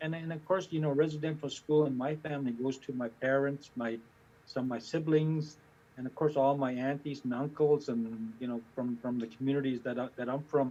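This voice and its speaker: Fairly high for a man, this voice has a dark, mellow tone. He speaks at a fairly quick pace with fairly even intonation. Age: 60s. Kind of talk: personal testimony. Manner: halting, many repetitions and fillers.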